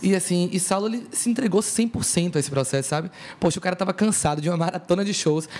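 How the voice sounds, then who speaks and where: A high-pitched man at a very fast pace, ordinary pitch variation, over noticeable background noise. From Brazil, Salvador (Bahia). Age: young. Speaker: singer. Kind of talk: casual chat.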